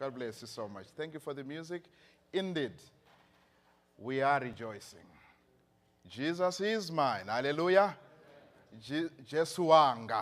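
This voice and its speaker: With a Zimbabwean accent, the speaker moves at a fairly slow pace with lively intonation, long, frequent pauses and big swings in loudness. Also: man, fairly high pitch for a man. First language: Shona. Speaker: pastor. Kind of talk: sermon. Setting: church. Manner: animated.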